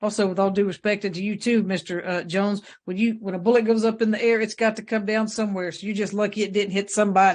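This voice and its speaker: Very fast speech with a Southern US accent, hardly any pauses, monotone, flat intonation, and a quiet background. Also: man, high pitch for a man. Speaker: judge. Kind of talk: court hearing. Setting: courtroom.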